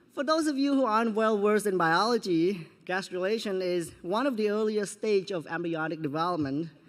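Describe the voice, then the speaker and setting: A man with a non-native accent speaks at a moderate pace with lively intonation in a very clean recording with a silent background. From Cambodia. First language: Khmer. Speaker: student speaker. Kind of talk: commencement speech. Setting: graduation ceremony with audience. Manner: formal.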